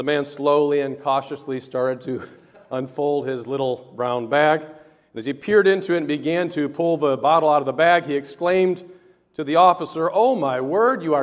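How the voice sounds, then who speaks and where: Over a quiet background, a man talks at a moderate pace with ordinary pitch variation and big swings in loudness. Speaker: pastor. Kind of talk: sermon. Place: church.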